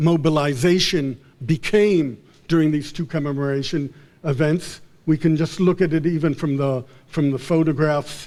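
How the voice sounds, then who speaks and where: At a fairly slow pace, a man talks in a fairly high pitch. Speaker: professor giving a conference talk. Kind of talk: conference lecture. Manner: halting, many repetitions and false starts.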